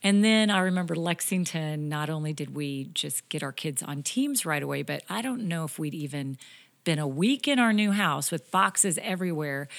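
Speaking at a moderate pace, a woman with a very deep, low pitch is heard on a very clean recording with a silent background. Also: lively intonation. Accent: General American. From Kansas. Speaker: church planter's wife, pastor's wife. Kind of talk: casual interview chat.

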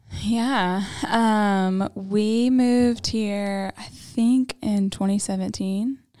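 A woman with a Southern US accent speaks at a very slow pace and medium pitch in a dark, mellow tone, with big swings in loudness and hardly any pauses. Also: fairly even intonation. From Tennessee, Knoxville. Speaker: church member, new podcast co-host. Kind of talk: casual chat, personal testimony.

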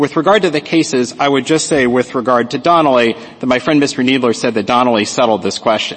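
Against noticeable background noise, a man of medium pitch talks at a very fast pace with hardly any pauses and ordinary pitch variation. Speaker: lawyer arguing before supreme court. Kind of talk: oral argument. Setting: courtroom. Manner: formal.

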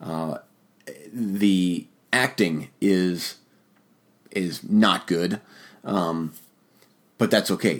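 With an American accent, a man speaks in a very deep, low pitch with ordinary pitch variation. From rural Ohio, US Midwest. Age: 40s. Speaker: podcast host, horror film reviewer. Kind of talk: solo podcast monologue, film review. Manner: hesitant, many fillers and repetitions.

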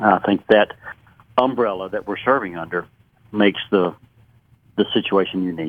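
With a Southern US accent, a man talks at a fairly low pitch and a moderate pace, with ordinary pitch variation. He leaves long, frequent pauses. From Western North Carolina. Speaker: retired pharmacist, disaster relief volunteer. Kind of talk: radio interview. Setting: phone call.

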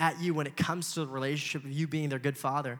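This man has an American accent and a fairly high pitch. He talks at a fairly quick pace with fairly even intonation. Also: very clean recording, silent background. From Los Angeles, US. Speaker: young adult pastor. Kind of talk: sermon.

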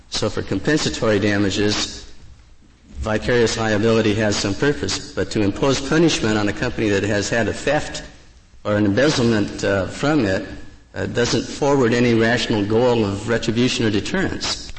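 Noticeable background noise sits under this voice. The pace is moderate and the pitch varies in an ordinary way. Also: man, medium pitch for a man. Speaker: lawyer arguing before the court. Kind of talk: oral argument. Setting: courtroom. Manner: halting, repeats words.

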